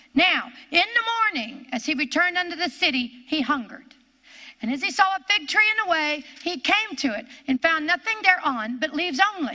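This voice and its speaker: Using a raised, projected voice, a woman speaks at an extremely high pitch in an animated tone with very wide pitch swings. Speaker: preacher. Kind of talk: sermon; Bible teaching to women's meeting. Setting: live stream women's meeting. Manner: animated, fervent; testifying, exhorting.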